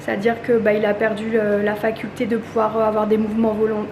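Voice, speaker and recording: A woman speaks at a fairly high pitch in a room with audible echo and noticeable background noise. Her loudness stays very even, and her intonation is flat and monotone. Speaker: family vlogger. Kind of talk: vlog monologue. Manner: halting.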